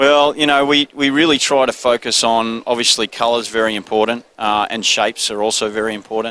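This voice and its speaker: Speaking at a fairly quick pace with hardly any pauses, a man with an Australian accent has a bright, sharp tone, a medium pitch and fairly even intonation. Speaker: business owner. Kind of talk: trade show interview. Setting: trade show floor. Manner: laid-back.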